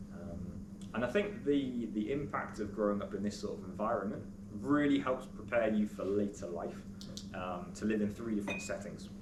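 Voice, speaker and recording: A man with a British accent and a fairly low pitch, at a moderate pace with ordinary pitch variation, amid noticeable background noise and audible room echo. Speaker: teacher. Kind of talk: speech to an audience. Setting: school event with audience. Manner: hesitant, many fillers.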